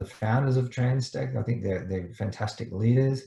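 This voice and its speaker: A man with an Australian accent, a dark, mellow tone, a somewhat breathy quality and ordinary pitch variation. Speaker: startup mentor. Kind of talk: online presentation. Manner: fast.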